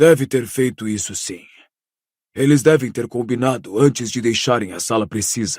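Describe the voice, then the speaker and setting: Delivered at a moderate pace, a hoarse, put-on character voice comes through in a very clean recording with a silent background. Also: man, medium pitch for a man. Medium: read story. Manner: firm.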